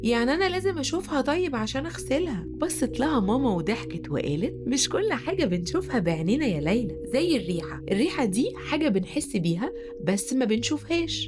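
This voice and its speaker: A woman's fairly high voice with very wide pitch swings and an Egyptian accent, music in the background. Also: moderate pace. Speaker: storyteller. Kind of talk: children's bedtime story.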